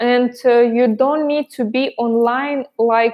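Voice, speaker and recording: The delivery is very slow. The intonation stays monotone and flat. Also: woman. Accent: non-native. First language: not English. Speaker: pole dance instructor. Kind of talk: live stream Q&A about online classes. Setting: live stream. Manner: halting, many fillers.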